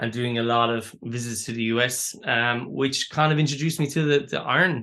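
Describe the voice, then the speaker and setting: Against a quiet background, a man with a medium-pitched, bright, sharp voice moves at a fairly quick pace with ordinary pitch variation. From Ireland, County Waterford. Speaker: artist and educator. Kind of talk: interview. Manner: hesitant, many fillers and repeats.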